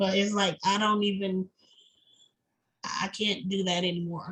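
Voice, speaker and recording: A woman speaks with an American accent at a medium pitch. Her intonation is monotone and flat. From US Midwest, Omaha, Nebraska. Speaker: patient sharing illness story. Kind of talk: interview testimony. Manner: strained, effortful speech.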